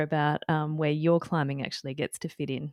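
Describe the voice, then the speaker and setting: A woman with an Australian accent, dry and close with no echo, against a quiet background. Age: 40s. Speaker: climbing dietitian and co-host. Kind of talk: casual chat.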